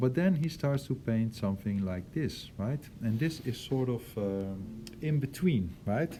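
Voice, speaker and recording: A man's medium-pitched, somewhat breathy voice with a dark, mellow tone, a Dutch accent, very wide pitch swings and audible room echo. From Netherlands. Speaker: art teacher. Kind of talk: lecture. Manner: hesitant, many fillers.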